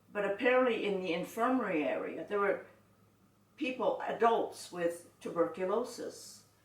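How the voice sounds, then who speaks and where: Amid audible room echo, a woman with a Canadian accent speaks fairly slowly with ordinary pitch variation. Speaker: internment survivor. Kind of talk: oral history interview. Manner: halting.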